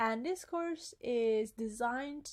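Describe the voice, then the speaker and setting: A woman speaks with an Italian accent. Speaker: language teacher. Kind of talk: tutorial. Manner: hesitant with fillers.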